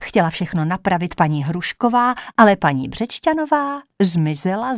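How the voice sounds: A natural reading voice sounds against a quiet background.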